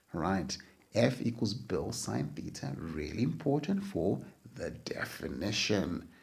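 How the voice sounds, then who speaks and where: A man speaks at a very slow pace, with audible room echo around his words. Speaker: physics teacher. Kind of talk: lecture.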